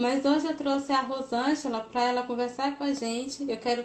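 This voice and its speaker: A woman speaks with monotone, flat intonation. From Goiás, Brazil (Planaltina). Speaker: crochet youtuber and interviewer. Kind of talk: casual interview on a live stream. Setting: live stream.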